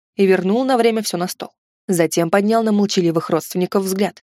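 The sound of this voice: This is an unforced reading voice with ordinary pitch variation, heard over a quiet background.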